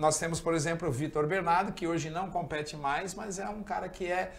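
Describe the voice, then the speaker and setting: The speaker is a man with a high voice and fairly even intonation. He keeps a moderate pace, and there is audible room echo. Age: 60s. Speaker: surfer. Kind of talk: talk show interview.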